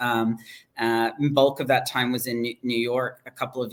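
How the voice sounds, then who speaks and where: A man speaks at a moderate pace and medium pitch with monotone, flat intonation. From Hong Kong. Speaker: HR executive and startup advisor. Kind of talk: interview. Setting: livestream.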